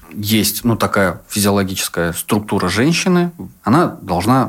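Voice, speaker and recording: A man with a fairly low pitch talks at a moderate pace. He has a plain, everyday voice. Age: 30s. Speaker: sexologist and psychotherapist. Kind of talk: casual chat.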